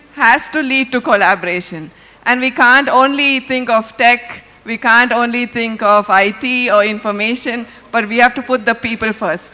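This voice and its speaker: Noticeable background noise sits under a woman's high voice. She speaks at a moderate pace, with ordinary pitch variation. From India, Bangalore. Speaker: jury member, foundation program director. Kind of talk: stage speech.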